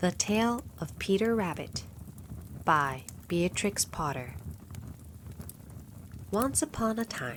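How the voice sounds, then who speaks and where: In a relaxed, calm tone, the voice moves at a very slow pace with very wide pitch swings and long, frequent pauses. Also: woman, medium pitch for a woman. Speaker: narrator. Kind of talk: bedtime story reading.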